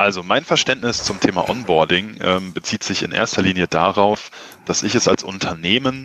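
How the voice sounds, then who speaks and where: Bright and sharp in tone, a man's fairly low voice moves at a moderate pace. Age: 30s. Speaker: entrepreneur, marketing agency owner. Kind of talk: interview.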